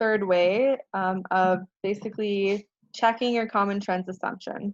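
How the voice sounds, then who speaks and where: A woman with an American accent speaks at medium pitch and a moderate pace. Her intonation is monotone and flat, and the sound is dry and close with no echo. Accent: American-accented Spanish pronunciation. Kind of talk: instructor, teaching.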